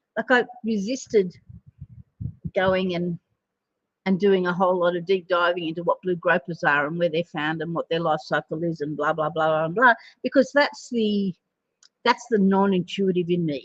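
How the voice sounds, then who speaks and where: Speaking with an Australian accent, a woman with a fairly low voice keeps a moderate pace and ordinary pitch variation, with long, frequent pauses. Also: dry, close sound with no echo. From Australia, Sydney northern beaches. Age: 60s. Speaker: animal communicator and psychic. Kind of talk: spiritual card reading monologue. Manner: casual, hesitant with many fillers.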